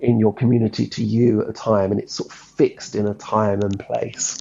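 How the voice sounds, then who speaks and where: A man speaks with an Essex accent. His pace is moderate. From Essex, England. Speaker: songwriter. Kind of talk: interview. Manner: halting.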